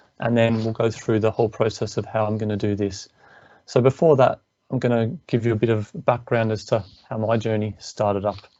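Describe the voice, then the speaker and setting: At a fairly quick pace, the speaker talks with an Australian accent. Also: man. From Australia, Melbourne. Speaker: engineer and business coach. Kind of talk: webinar presentation. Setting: online webinar.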